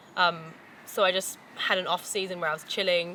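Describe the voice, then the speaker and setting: There is noticeable background noise behind this woman's fairly low-pitched voice. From New Zealand. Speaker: professional mountain biker. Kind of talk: casual promotional talk. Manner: casual, hesitant with fillers.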